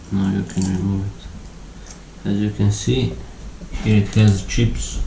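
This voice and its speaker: Over noticeable background noise and audible room echo, a man speaks with a non-native accent. His voice is very deep and low, with lively intonation. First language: not English. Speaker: tech YouTuber. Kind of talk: tutorial. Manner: halting. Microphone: voice too quiet under music.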